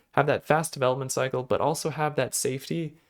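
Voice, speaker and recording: Here is a man with a medium pitch. His pitch variation is ordinary. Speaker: programming language developer. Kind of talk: tutorial. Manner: casual with fillers; fast.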